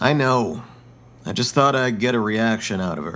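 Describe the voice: A man puts on a raspy character voice at a medium pitch. He keeps a moderate pace.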